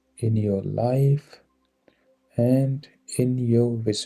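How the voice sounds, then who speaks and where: Music in the background behind a man speaking very slowly at medium pitch. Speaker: guided meditation guide. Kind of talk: guided meditation. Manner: slow, calm, soothing.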